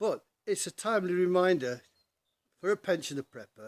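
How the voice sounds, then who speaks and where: A man with an English accent talks in very wide pitch swings. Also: dry, close sound with no echo. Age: 60s. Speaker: pensioner vlogger. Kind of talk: casual vlog monologue. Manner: halting.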